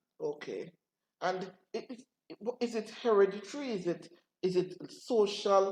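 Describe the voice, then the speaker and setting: At a fairly slow pace, a woman talks in a plain, everyday voice with ordinary pitch variation. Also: medium pitch for a woman. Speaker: pastor. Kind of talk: interview questions on a talk program.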